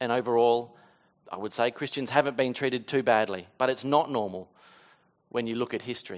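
A man with an Australian accent speaks at a fairly quick pace and medium pitch. His intonation is fairly even, and the background is quiet. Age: 30s. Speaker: pastor. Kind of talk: sermon. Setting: church.

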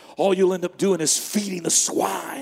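A man is shouting. Noticeable background noise can be heard. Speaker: guest preacher. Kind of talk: sermon. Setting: church. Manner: animated; fervent.

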